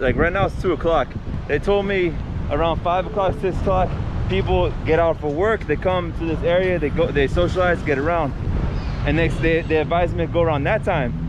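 Against noticeable background noise, a man talks at a fairly quick pace with ordinary pitch variation and a dry sound with no echo. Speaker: travel vlogger. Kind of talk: casual vlog chat. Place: street. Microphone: phone near.

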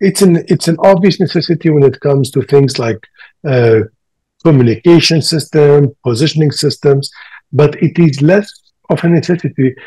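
Here a man has a fairly high pitch, ordinary pitch variation, and a dark, mellow tone. His voice is somewhat breathy over a quiet background. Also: moderate pace. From Libya and Tunisia. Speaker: planetary scientist; panelist. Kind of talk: panel discussion. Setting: video call. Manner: halting. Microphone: video call.

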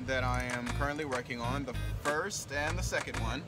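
A man speaks over loud music in the background. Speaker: vlogger. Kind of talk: casual vlog chat. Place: plane. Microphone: phone near.

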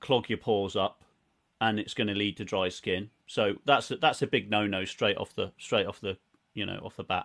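A man with a southern English accent at a moderate pace, over a quiet background. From southern England, Reading, Berkshire; southern England. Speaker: beard products business owner; guest. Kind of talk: casual interview chat. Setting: video call. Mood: relaxed, enthusiastic. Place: home room.

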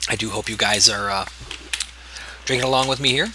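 With lively intonation and a medium pitch, a man speaks at a moderate pace amid noticeable background noise. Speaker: gaming video creator. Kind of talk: let's play commentary. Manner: casual, hesitant with fillers.

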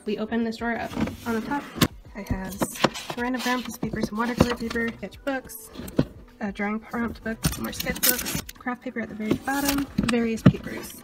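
Over loud background noise, a woman delivers her words fairly quickly. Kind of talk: casual vlog chat. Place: home room. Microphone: phone near.

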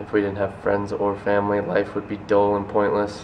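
Light background noise sits behind a man's fairly low voice. He keeps a moderate pace. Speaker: vlogger. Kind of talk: casual vlog chat. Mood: warm, supportive, reflective. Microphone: phone near.

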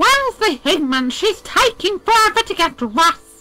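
Over faint background music, someone performs a put-on character voice at a moderate pace. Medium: dub. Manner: loud, excitable.

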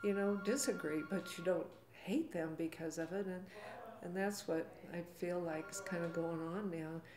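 In an American accent, a woman talks at a fairly low pitch and a moderate pace. Her pitch varies in an ordinary way, with faint music in the background. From US Southwest, Arizona. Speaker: retired schoolteacher. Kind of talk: interview conversation. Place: office.

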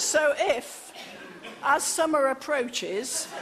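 There is noticeable background noise. The woman's voice has ordinary pitch variation. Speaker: comic storyteller. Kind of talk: comic monologue. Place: stage.

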